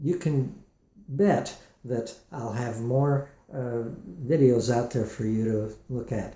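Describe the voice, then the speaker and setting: In a room with audible echo, a man speaks very slowly in a somewhat breathy, dark, mellow voice of medium pitch. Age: 70s. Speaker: guitar maker and musician demonstrating his product. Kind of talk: product demonstration tutorial. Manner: halting, many fillers and restarts.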